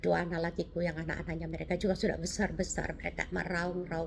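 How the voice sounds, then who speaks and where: A woman's fairly low-pitched voice with vocal fry. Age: 70s. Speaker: cancer survivor sharing testimony. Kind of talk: testimony. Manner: halting.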